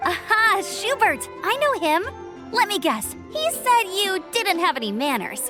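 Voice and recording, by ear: A woman uses a put-on character voice at an extremely high pitch, with big pitch swings and a fairly slow pace. Clear music plays in the background.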